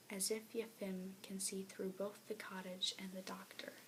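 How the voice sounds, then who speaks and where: A soft-spoken woman's medium-pitched voice at a fairly slow pace, with noticeable background noise. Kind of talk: read story.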